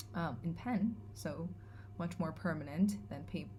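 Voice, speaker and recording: A somewhat breathy woman at a very slow pace, her pitch swinging very widely, with audible room echo. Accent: Californian. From California. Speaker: vlogger. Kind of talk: vlog monologue. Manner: hesitant, many fillers.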